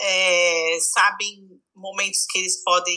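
A woman with a São Paulo accent speaks at a very slow pace. Her medium-pitched voice has monotone, flat intonation. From Brazil, São Paulo. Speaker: psychologist. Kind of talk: casual chat.

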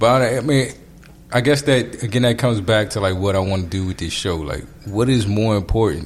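A man with a fairly low pitch, a fairly quick pace, ordinary pitch variation and an unremarkable speaking voice. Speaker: podcast host. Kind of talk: casual chat.

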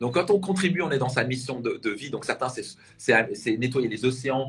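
A man speaks at a medium pitch with ordinary pitch variation. His somewhat breathy voice keeps a moderate pace. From Alsace, near Strasbourg. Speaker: personal development coach. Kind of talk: interview. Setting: live video interview.

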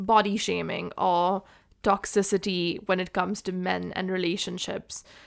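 A woman's medium-pitched voice comes through in a very clean recording where the background is silent. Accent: Indian. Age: 20s. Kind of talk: casual chat.

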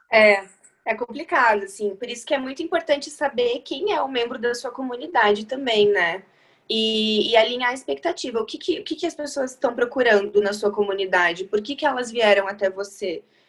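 High pitch defines this woman's voice. Her intonation is lively. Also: moderate pace. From Santa Catarina, Brazil (Chapecó). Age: 20s. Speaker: finance app community manager. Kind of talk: podcast interview.

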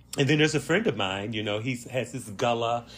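With an American accent, a man talks in a somewhat breathy voice with lively intonation. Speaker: podcast host. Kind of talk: solo podcast monologue. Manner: reflective, conversational.

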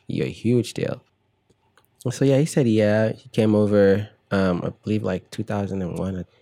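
A man's fairly low, dark and mellow voice at a fairly slow pace. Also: ordinary pitch variation. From Nigeria. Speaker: musician. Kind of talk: casual interview.

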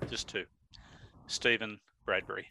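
Dry and close with no echo, a man's bright, sharp voice carries an Australian accent at a moderate pace. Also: very clean recording, silent background. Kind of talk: casual chat, asking questions.

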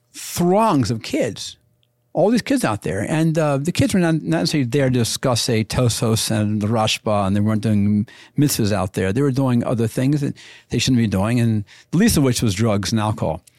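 A normal speaking voice from a man at medium pitch, moderate pace, lively intonation and very even loudness, in a very clean recording with a silent background. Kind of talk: casual interview chat.

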